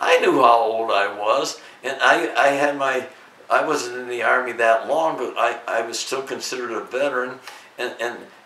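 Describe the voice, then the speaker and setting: A man with an American accent at a moderate pace, fairly even in intonation, with audible room echo and noticeable background noise. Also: medium pitch for a man. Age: 90s. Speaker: YouTuber, WWII veteran. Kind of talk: interview. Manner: halting.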